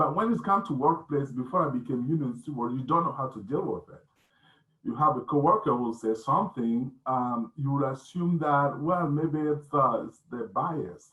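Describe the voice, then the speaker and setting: With a non-native accent, a man speaks at a moderate pace and a fairly high pitch, with ordinary pitch variation and big swings in loudness. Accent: foreign. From West Africa (Burkina Faso). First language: not English (seventh language). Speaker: union member and civil rights activist. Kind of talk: panel discussion. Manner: halting, many fillers.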